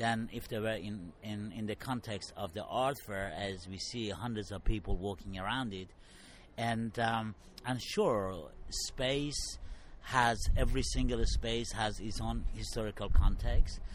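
Speaking at a fairly slow pace, a man uses a fairly low pitch with ordinary variation and audible vocal fry. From Middle East. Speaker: artist. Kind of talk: interview.

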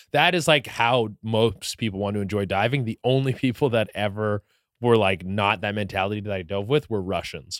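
Spoken with a slight Canadian accent and ordinary pitch variation, the clip is very clean, with a silent background and a dry, close sound with no echo. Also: man, fairly low pitch for a man, moderate pace. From Canada, Vancouver area. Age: 30s. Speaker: comedian, content creator. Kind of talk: casual chat.

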